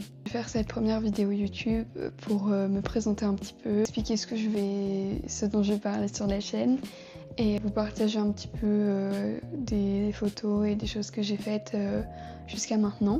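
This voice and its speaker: Music in the background behind a woman at a medium pitch, with a moderate pace and ordinary pitch variation. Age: 20s. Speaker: fashion design student and vlogger. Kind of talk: casual vlog self-introduction. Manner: hesitant, many fillers.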